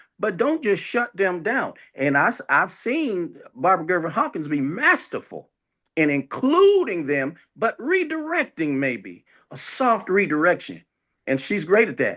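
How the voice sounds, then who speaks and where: In a raised, projected voice with a bright, sharp tone, a man speaks at a fairly slow pace and high pitch, with very wide pitch swings, over a quiet background. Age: 70s. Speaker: former city councilman. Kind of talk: panel discussion.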